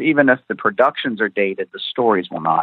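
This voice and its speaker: Fairly quick in pace, a man talks in an ordinary speaking voice. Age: young. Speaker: author and TV historian. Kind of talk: interview answers.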